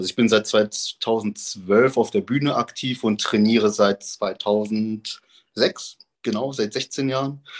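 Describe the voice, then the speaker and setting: A man talks very slowly with hardly any pauses, at a medium pitch with ordinary pitch variation, the sound dry and close with no echo. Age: 30s. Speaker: professional bodybuilder. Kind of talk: casual interview.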